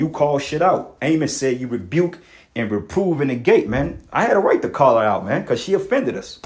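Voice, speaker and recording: Animated in tone, a man speaks at a moderate pace with lively intonation and a fairly high pitch. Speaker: street preacher. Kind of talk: heated rant. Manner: loud.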